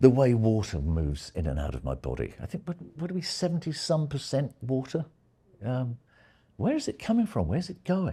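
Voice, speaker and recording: A man's somewhat breathy voice has a dark, mellow tone and very wide pitch swings. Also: very clean recording, silent background. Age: 70s. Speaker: retired media scholar. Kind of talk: lecture. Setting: seminar room with live audience. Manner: hesitant, with many fillers.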